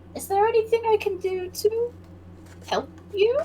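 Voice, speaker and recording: A woman's put-on character voice, extremely high in pitch, at a moderate pace, with clear background noise. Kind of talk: polite, professional. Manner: fake-cheerful, helpful.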